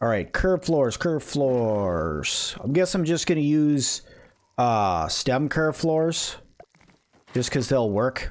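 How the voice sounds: A man of medium pitch speaks at a slow pace, his voice making big pitch swings.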